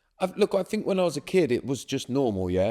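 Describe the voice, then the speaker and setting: A man's dark, mellow tone with a southern English accent, at a fairly quick pace, on a very clean recording with a silent background. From southern England, Swindon. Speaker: breathwork and resilience coach. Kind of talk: podcast interview.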